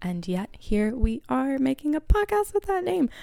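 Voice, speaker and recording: A woman with an American accent and a normal speaking voice, at a moderate pace with lively intonation. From Pennsylvania, US (Harrisburg). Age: 20s. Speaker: podcast host. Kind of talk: solo podcast monologue. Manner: casual, rambling with many fillers.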